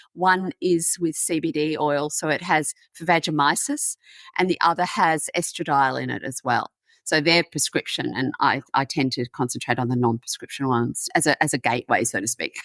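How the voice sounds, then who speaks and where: A woman with an Australian accent speaks at a moderate pace in a very deep, low voice with ordinary pitch variation. The very clean recording is dry and close, with no echo and a silent background. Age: 60s. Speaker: menopause advocate. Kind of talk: podcast interview.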